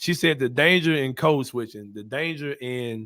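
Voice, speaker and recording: His pitch moves up and down in an ordinary way. The man's voice sits at a medium pitch. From US South, Memphis, Tennessee. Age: 40s. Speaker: podcast host and journalist. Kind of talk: casual chat. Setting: live-streamed podcast. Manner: fast.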